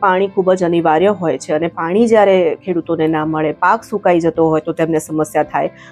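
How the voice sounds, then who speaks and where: A woman speaks with music in the background. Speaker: news anchor. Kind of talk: interview answer.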